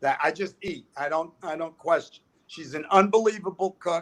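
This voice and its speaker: Using ordinary pitch variation, a man with a New York accent speaks at a fairly slow pace. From US Northeast, New York City. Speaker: comedian. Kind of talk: stand-up.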